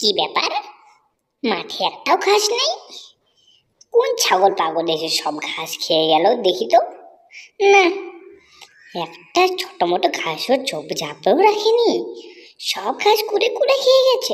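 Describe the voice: The pace is fairly slow. It's delivered in a cartoonish character voice.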